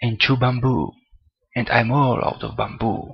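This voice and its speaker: At a fairly slow pace, a man talks with a non-native accent and a medium pitch. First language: not English. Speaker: gaming let's play commentator. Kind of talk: gameplay commentary. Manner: halting, stuttering.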